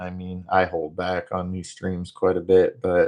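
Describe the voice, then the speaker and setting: A man speaks at a very slow pace. He has an American accent. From northern US. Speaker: live streamer; military veteran. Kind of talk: casual live stream chat reading comments.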